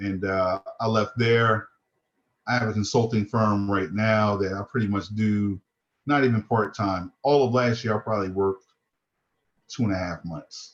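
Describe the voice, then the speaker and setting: Using a plain, everyday voice, a man speaks at a fairly low pitch with fairly even intonation. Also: moderate pace. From New Jersey. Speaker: retired police detective. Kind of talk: informal interview.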